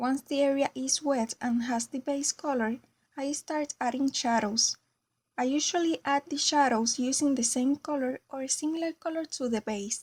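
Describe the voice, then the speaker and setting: Speaking at a moderate pace with a Spanish accent, a woman with a high pitch uses ordinary pitch variation on a very clean recording with a silent background and a dry, close sound with no echo. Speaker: craft tutorial creator. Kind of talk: tutorial.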